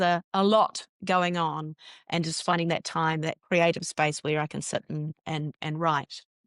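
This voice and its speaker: Against a quiet background, a woman with a New Zealand accent speaks at a fairly low pitch in a monotone, flat intonation, the sound dry and close with no echo. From New Zealand (Northland). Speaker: journalist turned filmmaker. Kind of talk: interview.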